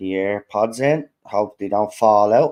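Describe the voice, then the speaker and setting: Over a very clean recording with a silent background, a man with a fairly low pitch speaks at a moderate pace. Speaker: football fan streamer. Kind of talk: live match watchalong commentary. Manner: holding volume down today.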